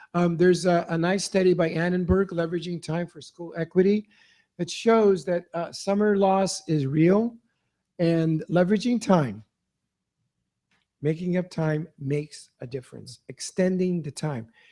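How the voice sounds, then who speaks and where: Here a man talks at a moderate pace with a high pitch. His tone is dark and mellow. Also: ordinary pitch variation, big swings in loudness. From San Francisco, Bayview Hunters Point. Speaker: educator speaking at a school board meeting. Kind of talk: public remarks at a board meeting. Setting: school board meeting.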